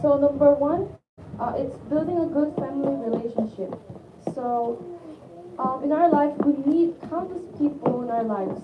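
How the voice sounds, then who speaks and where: At a high pitch, a woman speaks at a moderate pace with ordinary pitch variation and long, frequent pauses. Noticeable background noise runs underneath. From South Korea. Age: 20s. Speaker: university student. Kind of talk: testimony. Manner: halting.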